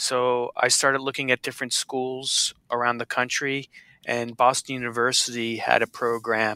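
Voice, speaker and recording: A man with an American accent speaks at a moderate pace and medium pitch, in a bright, sharp tone. His intonation is monotone and flat, and the sound is dry and close with no echo. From Central New Jersey. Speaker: chef. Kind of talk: interview.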